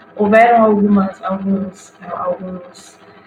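A woman with a fairly high pitch and fairly even intonation is heard over noticeable background noise. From Rio Grande do Sul, Brazil. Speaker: digital influencer and physics teacher. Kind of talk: casual chat.

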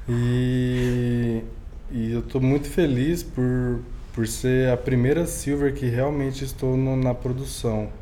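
A man at a medium pitch and a very slow pace, with monotone, flat intonation, very even loudness and audible room echo. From Minas Gerais, Brazil (Uberlândia). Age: young. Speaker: DJ. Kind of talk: casual interview.

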